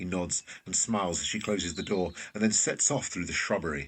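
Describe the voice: At a moderate pace, a man with a low pitch speaks in a fairly bright tone with a slightly husky edge and ordinary pitch variation.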